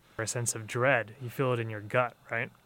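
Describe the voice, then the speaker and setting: Flat, monotone delivery from a man at a medium pitch. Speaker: law student with a stutter. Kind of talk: personal storytelling interview. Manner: halting, with repetitions and pauses.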